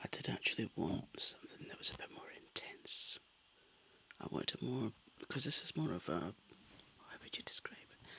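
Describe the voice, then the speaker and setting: Whispering in a gentle tone at a moderate pace, broken by long, frequent pauses. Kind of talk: ASMR crafting talk to camera, relaxed and chatty. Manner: soft-spoken, gentle.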